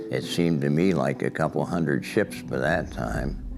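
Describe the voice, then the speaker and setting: Music plays behind a man with a central Pennsylvania accent and a very deep, low pitch. He speaks at a moderate pace, with audible room echo. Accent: central Pennsylvania American. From Pennsylvania, Clearfield County. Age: 90s. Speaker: war veteran. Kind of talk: oral history interview. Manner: halting, with fillers.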